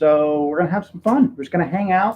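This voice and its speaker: Speaking in a Texan accent, a man talks at a high pitch with ordinary pitch variation. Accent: Texan American English. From Texas. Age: 30s. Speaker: YouTuber streaming live. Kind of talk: casual live stream chat. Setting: home room, live stream. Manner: casual, halting with many fillers.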